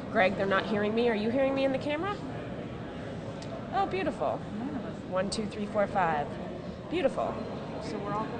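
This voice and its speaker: A woman talks at a fairly quick pace. Loud background noise surrounds her. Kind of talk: mic check counting. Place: hall. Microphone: podium.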